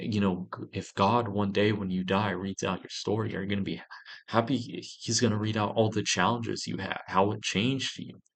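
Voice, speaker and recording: The intonation is monotone and flat at a moderate pace. The background is quiet. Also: man. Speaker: vlogger. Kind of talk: casual monologue vlog.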